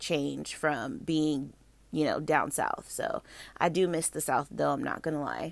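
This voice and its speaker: The recording is very clean, its background silent. A woman talks in an American accent. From Florida. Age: 20s. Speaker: homemaking vlogger. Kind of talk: voiceover, casual chat.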